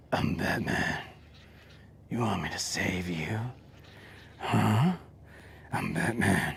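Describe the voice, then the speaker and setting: In a put-on character voice, a raspy whisper moves at a very slow pace over clear background noise. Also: man. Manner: creepy whisper.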